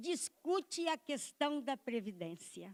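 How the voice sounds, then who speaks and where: A woman speaks at a very slow pace with very wide pitch swings. The recording is very clean, with a silent background. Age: 70s. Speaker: retired professor and union activist. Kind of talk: speech at a conference. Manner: impassioned.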